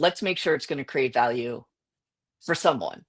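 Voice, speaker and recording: With an American accent, a woman speaks in lively intonation. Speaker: innovation consultant. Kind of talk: interview.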